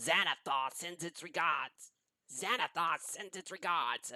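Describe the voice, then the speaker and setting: Putting on a character voice, a man talks fairly slowly at a high pitch. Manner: repetitive, parrot-like.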